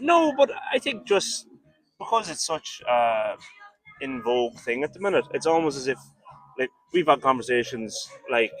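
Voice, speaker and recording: A man with an Irish accent at a moderate pace, with long, frequent pauses, music in the background and a dry, close sound with no echo. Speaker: rock band member. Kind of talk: interview.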